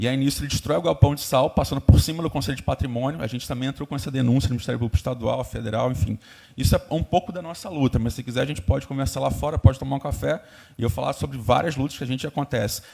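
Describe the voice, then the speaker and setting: Vocal fry marks this man's medium-pitched voice as he speaks at a very fast pace with ordinary pitch variation. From Brazil, Cabo Frio (Rio de Janeiro state). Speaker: environmental activist. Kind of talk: public hearing speech. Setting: public hearing. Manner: hesitant fillers.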